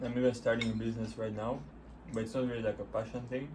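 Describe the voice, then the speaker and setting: A man's medium-pitched voice at a very fast pace, with audible room echo. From Bulgaria. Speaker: couple vlogger. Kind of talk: casual chat.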